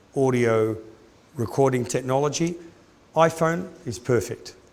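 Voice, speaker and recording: Speaking at a fairly slow pace with a medium pitch and ordinary pitch variation, a man is heard with audible room echo. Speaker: orthodontics lecturer. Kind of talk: lecture.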